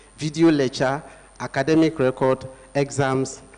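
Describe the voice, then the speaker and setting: Noticeable background noise behind a man talking fairly slowly. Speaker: language school organizer and trainer. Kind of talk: workshop presentation. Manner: halting.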